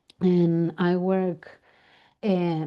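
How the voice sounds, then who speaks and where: This woman speaks with an Argentine accent. Her pitch is medium. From Argentina. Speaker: family constellation facilitator. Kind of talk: interview.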